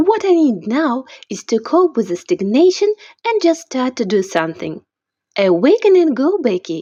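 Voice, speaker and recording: In a high voice with very wide pitch swings, a woman talks at a moderate pace with a non-native accent. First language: not English. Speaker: amateur author reading own novel. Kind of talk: reading aloud.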